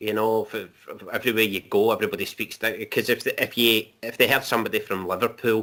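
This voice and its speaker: A man at a very fast pace with hardly any pauses, a medium pitch, monotone, flat intonation, and a bright, sharp tone, in a very clean recording with a silent background. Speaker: men's issues video maker. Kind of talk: casual chat.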